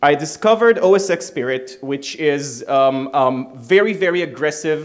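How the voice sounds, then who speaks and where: With an Israeli accent and very wide pitch swings, a man talks over noticeable background noise. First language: Hebrew. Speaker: security researcher. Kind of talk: conference talk. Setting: stage with audience. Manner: casual, irreverent, fast.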